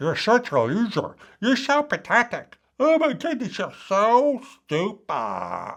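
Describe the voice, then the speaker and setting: Putting on a character voice, a man speaks at an extremely high pitch and a fairly slow pace, with very wide pitch swings. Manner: ridiculous, exaggerated, silly tone.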